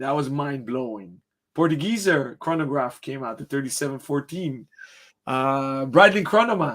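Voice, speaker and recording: With lively intonation and a fairly high pitch, a man speaks at a moderate pace in a normal speaking voice, recorded very cleanly against a silent background. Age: 40s. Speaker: watch retailer and show host. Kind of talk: interview.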